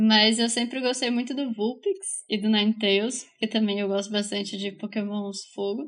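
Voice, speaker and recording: Against a quiet background, an ordinary speaking voice moves at a fairly slow pace. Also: woman. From Brazil, Bauru (São Paulo state). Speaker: podcast co-host. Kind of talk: casual chat.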